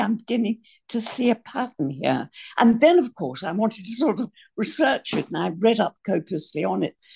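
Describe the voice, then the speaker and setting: Her voice is somewhat breathy and fairly high for a woman, with very wide pitch swings at a fairly quick pace. The background is quiet and the sound dry and close, with no echo. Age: 80s. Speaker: author and former psychotherapist. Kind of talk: radio interview.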